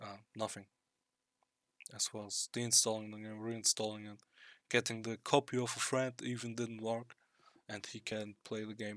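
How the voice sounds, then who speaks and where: A man with a non-native accent talks at a moderate pace in a medium pitch, his intonation monotone and flat, his loudness swinging widely. Long, frequent pauses break up his speech, and the very clean recording has a dry, close sound with no echo and a silent background. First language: not English. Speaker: gamer. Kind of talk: tutorial. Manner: halting.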